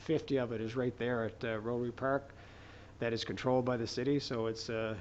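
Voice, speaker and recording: At a fairly quick pace, a man talks at a medium pitch with monotone, flat intonation. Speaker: city planning staff. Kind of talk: public meeting presentation. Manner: fast.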